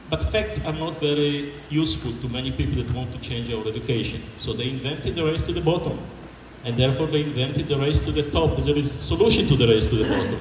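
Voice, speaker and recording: A man with a non-native accent speaks at a very fast pace and medium pitch, with ordinary pitch variation. Noticeable background noise and audible room echo fill the recording. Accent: foreign. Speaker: engineer and education policy speaker. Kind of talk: public forum talk.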